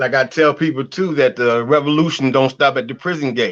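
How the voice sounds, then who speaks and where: A man with an unremarkable speaking voice talks at a moderate pace, fairly high in pitch and with ordinary pitch variation. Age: 60s. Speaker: political prisoner. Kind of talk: interview.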